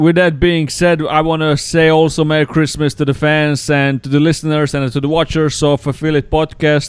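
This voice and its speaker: Speaking at a moderate pace, a man with a fairly high voice has a Croatian accent. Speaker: pro wrestler and podcast host. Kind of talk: casual chat.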